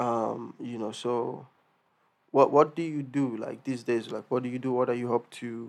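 This man's intonation stays monotone and flat. He talks at a fairly slow pace. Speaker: podcast host. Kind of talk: casual interview.

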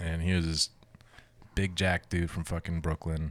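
A man's very deep, low voice with an American accent, monotone, flat intonation and a fairly slow pace. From New Jersey. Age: 30s. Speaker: strongman competitor and army veteran. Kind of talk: casual chat.

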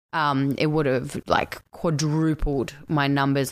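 A woman with an Australian accent, a very deep, low pitch and monotone, flat intonation, on a very clean recording with a silent background. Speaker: actress and coach. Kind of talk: casual chat. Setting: home, condo.

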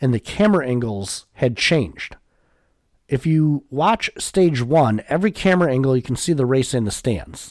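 The sound is dry and close with no echo, as a man speaks at a moderate pace. His medium pitch swings very widely. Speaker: NASCAR podcaster. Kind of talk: solo podcast commentary. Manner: casual, conversational, slightly hesitant.

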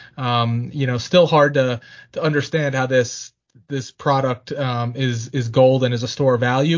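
Somewhat breathy and medium in pitch, a man speaks at a moderate pace. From Pennsylvania. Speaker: financial podcast host. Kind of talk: casual chat about markets.

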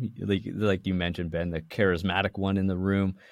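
With a Canadian accent and a plain, everyday voice, a man speaks at a fairly quick pace and a fairly low pitch. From Canada, Toronto area. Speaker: tech company co-founder. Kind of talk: interview.

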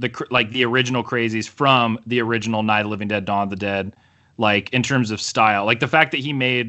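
Here a man with a Midwestern US accent talks very fast. His pitch is medium, with ordinary variation. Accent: US Midwest. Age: 30s. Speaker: comic book letterer and podcaster. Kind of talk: casual chat.

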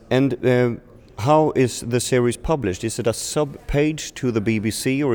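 In a Swedish accent, a voice moves at a fairly slow pace with very even loudness and ordinary pitch variation. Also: man. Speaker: podcast host. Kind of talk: interview. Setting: festival. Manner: slightly halting.

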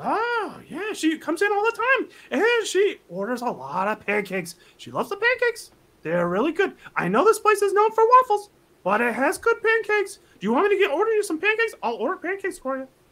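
This is a put-on character voice at an extremely high pitch. The delivery moves at a fairly quick pace. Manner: eager, friendly.

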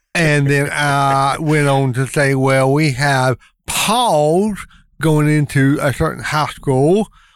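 Very slow speech from a man, fairly high in pitch. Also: ordinary pitch variation. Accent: North Carolina. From US South, North Carolina (Lincoln County). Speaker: insurance agent, parade committee member. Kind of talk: casual interview.

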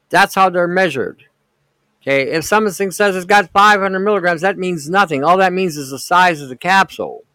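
An American man with a high pitch uses a raised, projected voice at a fairly quick pace, showing ordinary pitch variation and big swings in loudness. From Detroit, US Midwest. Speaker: podcast host, alternative health commentator. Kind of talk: casual livestream monologue. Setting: live online stream. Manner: halting, many fillers.

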